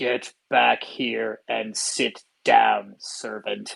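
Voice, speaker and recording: A put-on character voice growls its way along at a very slow pace. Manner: commanding, intimidating.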